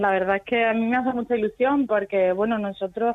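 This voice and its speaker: A woman speaks with an Extremaduran accent. Her pitch is fairly high and her intonation fairly even. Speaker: musician. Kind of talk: radio interview.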